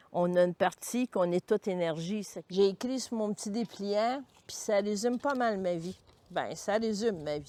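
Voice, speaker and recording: A woman speaks at a medium pitch and moderate pace, with a dark, mellow tone and ordinary pitch variation. Her loudness swings widely, and the sound is dry and close with no echo. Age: 70s. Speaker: retired cancer-care worker. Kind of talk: personal testimony interview. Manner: halting, with fillers.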